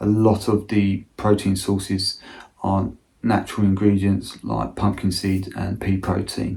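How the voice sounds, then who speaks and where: Speaking at a fairly slow pace, a man has a dark, mellow tone, a fairly low pitch, monotone, flat intonation and a somewhat breathy sound. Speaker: amateur ultra runner. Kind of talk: casual talk to camera.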